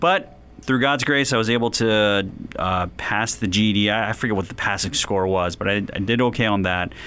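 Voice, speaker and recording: In an American accent, a man with a fairly low pitch and an unremarkable speaking voice talks at a moderate pace with ordinary pitch variation. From US Northeast, West Philadelphia. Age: 40s. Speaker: business professor and author. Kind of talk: interview.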